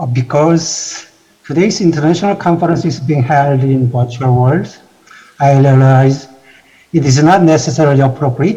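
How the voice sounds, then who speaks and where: A man's fairly high, somewhat breathy voice with a Korean accent, a dark, mellow tone, moderate pace and ordinary pitch variation. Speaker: institute president. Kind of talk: formal welcome speech. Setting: virtual conference.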